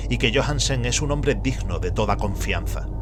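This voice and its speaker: A man with an Andalusian accent talks at a moderate pace, with music in the background and audible room echo. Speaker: audiobook narrator. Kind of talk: reading aloud of a horror story.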